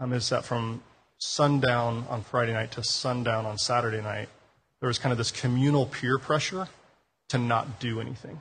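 In an American accent, a man with a plain, everyday voice talks fairly quickly at a medium pitch with fairly even intonation over a quiet background. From Denver, Colorado. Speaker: pastor. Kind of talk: sermon. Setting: church.

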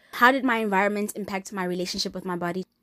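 A woman speaks at a medium pitch with a bright, sharp, animated tone, recorded with a dry, close sound and no echo. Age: 20s. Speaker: podcast host. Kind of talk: personal podcast monologue. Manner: casual, animated, candid.

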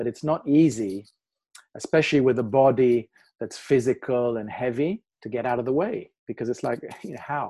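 A man talks at a moderate pace with a medium pitch, ordinary pitch variation, a dark, mellow tone and big swings in loudness, against a quiet background. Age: 60s. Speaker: qigong teacher. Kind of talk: guided meditation; interview conversation.

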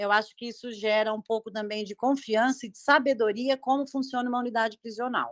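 Recorded with a dry, close sound with no echo and a silent background on a very clean track, a woman with a fairly high pitch speaks at a moderate pace. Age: 50s. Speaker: criminal lawyer, live participant. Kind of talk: casual discussion. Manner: halting.

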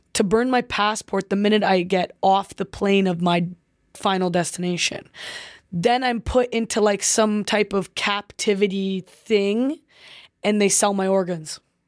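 On a very clean recording with a silent background and a dry, close sound with no echo, a woman with an unremarkable speaking voice talks at a fairly slow pace and medium pitch with fairly even intonation. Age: 20s. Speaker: professional footballer. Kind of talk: casual interview.

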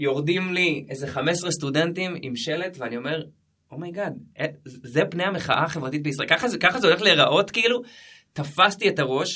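With a bright, sharp tone, a man speaks fairly quickly at a high pitch with ordinary pitch variation. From Jerusalem, Israel. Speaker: social activist. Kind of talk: interview.

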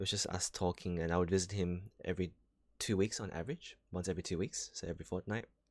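Speech at a very fast pace with fairly even intonation comes through on a very clean recording with a silent background. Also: man, very deep, low pitch for a man. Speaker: solo podcaster. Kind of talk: casual monologue. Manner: hesitant, with many fillers.

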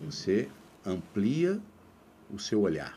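This is a man speaking at a fairly low pitch. His tone is dark and mellow. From Brazil, Mato Grosso do Sul (Três Lagoas, near São Paulo border). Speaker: labour court judge and author. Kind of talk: interview conversation. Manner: halting, many repetitions.

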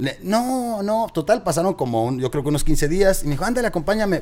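A man speaks at a moderate pace. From Monterrey, Nuevo León, Mexico. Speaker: radio host. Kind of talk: casual interview.

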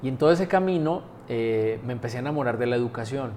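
A man with an ordinary speaking voice talks at a fairly quick pace and a medium pitch. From Colombia. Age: 40s. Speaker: university rector. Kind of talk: interview. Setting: university premises.

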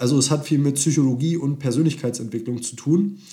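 With a dark, mellow, somewhat breathy tone, a man speaks at a medium pitch and moderate pace, keeping his intonation fairly even. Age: 20s. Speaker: dating coach. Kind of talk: podcast monologue.

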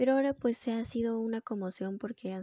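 A woman's somewhat breathy, dark and mellow voice at a fairly quick pace, with ordinary pitch variation and a dry, close sound with no echo. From Peru. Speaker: podcast host. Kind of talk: solo monologue podcast.

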